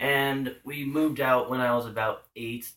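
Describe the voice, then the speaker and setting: Bright, sharp tone at a fairly slow pace, on a very clean recording with a silent background. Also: man. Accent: Pacific Northwest. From US Pacific Northwest, Washington state. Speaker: vlogger. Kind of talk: casual vlog monologue. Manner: halting, many fillers.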